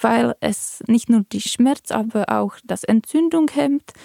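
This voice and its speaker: This woman has a Czech accent and a fairly high pitch. Her tone is dark and mellow. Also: dry, close sound with no echo. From Czech Republic. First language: Czech (speaking German). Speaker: physician and patient. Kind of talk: personal testimony in interview.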